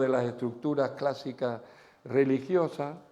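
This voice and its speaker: With audible room echo, a man speaks in a dark, mellow tone at a fairly high pitch. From Spain. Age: 70s. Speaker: pastor. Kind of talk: sermon. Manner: animated.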